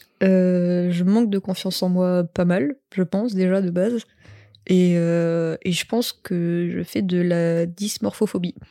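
Very slowly, a woman speaks in a dark, mellow tone at a fairly low pitch with fairly even intonation, the sound dry and close with no echo. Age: 20s. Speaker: tattoo artist and barista. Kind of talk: casual chat. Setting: recording in a bed with two mics.

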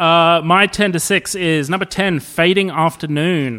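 A man speaks at a fairly slow pace with a bright, sharp tone and a fairly high pitch. The recording is very clean, with a silent background. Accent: Australian. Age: 40s. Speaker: podcast host. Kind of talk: casual chat.

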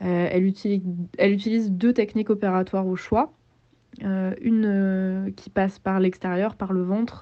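A woman at a moderate pace and medium pitch, with monotone, flat intonation. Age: 20s. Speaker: podcast narrator. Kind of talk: personal audio diary; scripted narration. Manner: hesitant, many fillers.

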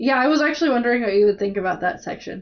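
A woman's fairly high-pitched voice at a very fast pace. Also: lively intonation.

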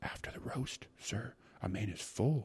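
A man whispers in a put-on character voice with a husky, rough edge. His pace is fairly slow.

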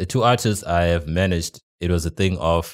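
Fairly even intonation comes through a dry, close sound with no echo, on a very clean recording with a silent background. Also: man. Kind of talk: casual chat. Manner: halting, stutters.

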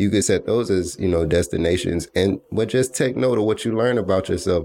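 On a very clean recording with a silent background, a man with an American accent speaks in a dark, mellow tone. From US South, Atlanta, Georgia. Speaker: podcast host. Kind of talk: solo motivational monologue. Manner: casual, laid-back; not very enthusiastic.

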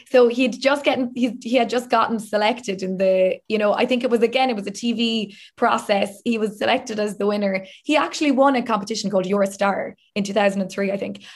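Somewhat breathy female speech in a Southern Irish accent, with hardly any pauses. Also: fairly even intonation, fairly quick pace. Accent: southern Irish (Limerick). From Limerick, south of Ireland. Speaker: TV and radio presenter. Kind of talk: casual interview.

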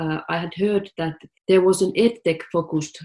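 The speaker talks at a moderate pace in a Finnish accent, with ordinary pitch variation. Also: woman. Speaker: tech startup CEO. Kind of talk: interview.

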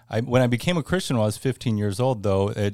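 A man with an American accent, a dark, mellow tone and fairly even intonation, on a very clean recording with a silent background. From Northern California. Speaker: school fundraising director. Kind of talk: interview. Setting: studio.

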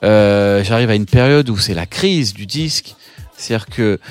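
Music can be heard in the background. Over it, a man's intonation stays lively. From France, Paris suburbs (Seine-et-Marne). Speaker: photographer and illustrator. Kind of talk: interview testimony. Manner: halting, many fillers and repetitions.

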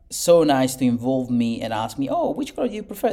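With lively intonation, a man talks at a moderate pace in a dark, mellow tone at medium pitch. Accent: Italian. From Italy. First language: Italian. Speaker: architect. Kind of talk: interview. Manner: halting, many fillers and repetitions.

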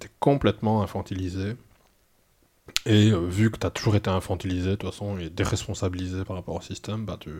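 A man talks at a very fast pace with big swings in loudness and fairly even intonation. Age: 40s. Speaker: former cult member. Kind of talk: testimony. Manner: halting, many hesitations and repetitions.

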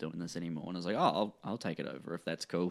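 The speaker has a New Zealand accent. The recording is very clean, with a silent background. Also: man. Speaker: comedy promoter and comedian. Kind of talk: casual chat.

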